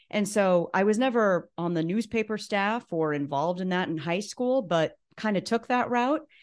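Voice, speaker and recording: With an unremarkable speaking voice, a woman talks at a medium pitch and moderate pace with lively intonation. She has hardly any pauses, and the background is quiet. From Nebraska, US Midwest. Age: 40s. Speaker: former TV news anchor, school communications director. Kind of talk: casual interview.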